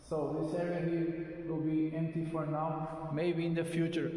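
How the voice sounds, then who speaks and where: Noticeable background noise and audible room echo surround a man with a non-native accent. He talks at a fairly slow pace with a fairly high pitch. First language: not English. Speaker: DIY car mechanic vlogger. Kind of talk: casual vlog walkthrough. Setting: empty garage. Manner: halting, many filler sounds.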